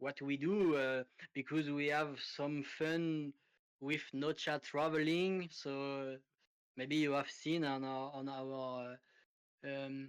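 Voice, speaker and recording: Speaking very slowly with a French accent, a man holds a fairly high pitch in a flat, monotone delivery. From France. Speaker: crypto project team member. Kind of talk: interview. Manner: halting, many fillers.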